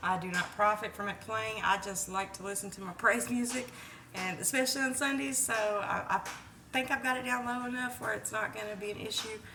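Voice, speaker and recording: A woman's fairly high voice at a fairly quick pace, with ordinary pitch variation, audible room echo and noticeable background noise. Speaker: home cook vlogger. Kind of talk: cooking tutorial. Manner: casual, chatty.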